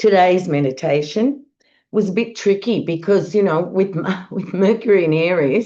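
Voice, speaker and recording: A woman with an Australian accent speaks at a moderate pace and a medium pitch, her tone dark and mellow and her pitch rising and falling in an ordinary way. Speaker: astrologer. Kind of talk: monologue forecast.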